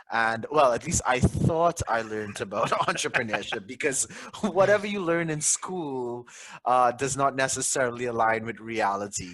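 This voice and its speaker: Here a man talks with a Trinidadian accent. His pace is moderate. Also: medium pitch for a man. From Trinidad and Tobago. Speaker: tech company co-founder. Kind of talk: podcast interview.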